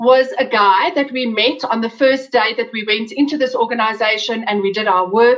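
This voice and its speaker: A woman speaks with an Afrikaans accent. Her pitch is high. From South Africa. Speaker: webinar presenter. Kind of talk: webinar talk. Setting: online webinar.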